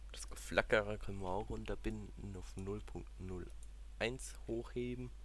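Very deep and low, a man's voice moves at a very slow pace with very wide pitch swings. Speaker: gaming YouTuber. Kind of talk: let's play commentary. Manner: casual, thinking aloud.

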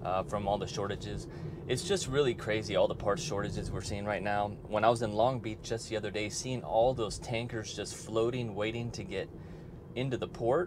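Against noticeable background noise, a man speaks at a moderate pace with ordinary pitch variation. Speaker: car owner vlogger. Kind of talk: casual vlog chat. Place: car.

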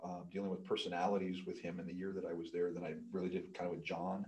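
The voice has an American accent and a dark, mellow tone, at a very fast pace. Intonation is fairly even, but loudness swings widely. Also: man. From US Midwest. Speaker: pole vault coach and sports equipment employee; pole vault coach. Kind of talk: casual interview. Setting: studio, in person. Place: studio. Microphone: studio mic.

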